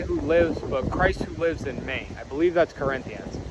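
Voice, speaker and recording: Noticeable background noise runs through the clip. A man does the talking. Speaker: Bible teacher. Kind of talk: Bible reading with commentary.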